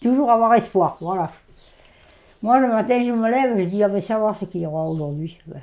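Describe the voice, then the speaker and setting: A woman talks at a moderate pace. Her voice sits at a medium pitch with a dark, mellow tone. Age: 80s+. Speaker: farmer. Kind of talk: interview answer.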